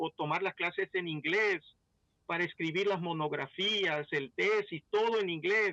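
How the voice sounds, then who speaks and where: The voice has a bright, sharp tone and an English accent. It moves at a fairly slow pace, with a dry, close sound and no echo. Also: man. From Belize. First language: English (speaking Spanish). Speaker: pastor. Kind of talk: testimony.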